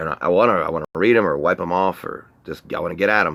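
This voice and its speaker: A man with a very deep, low pitch speaks fairly quickly with ordinary pitch variation, on a very clean recording with a silent background. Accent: Southern US. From North Carolina. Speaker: live streamer. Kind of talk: casual live stream monologue.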